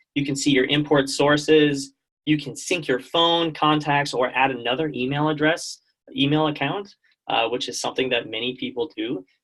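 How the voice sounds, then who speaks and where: This man has a normal speaking voice. His pitch sits fairly high, and his intonation stays fairly even. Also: moderate pace. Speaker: product manager giving software training. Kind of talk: software training webinar. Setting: online call with screen share.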